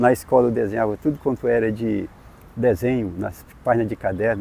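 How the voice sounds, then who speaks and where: This man has a dark, mellow tone and a medium pitch. He talks at a fairly quick pace. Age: 70s. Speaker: painter, self-taught artist. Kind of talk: interview testimony. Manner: halting, with repetitions.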